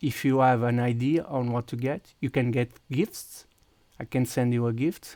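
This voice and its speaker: A man speaks with a Portuguese accent at a medium pitch, his intonation fairly even. The tone is dark and mellow, and the sound is dry and close with no echo. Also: moderate pace. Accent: Portuguese accent, mistaken for Russian. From Portugal. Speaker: video game streamer. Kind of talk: live gameplay stream chat. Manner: halting, many fillers and restarts.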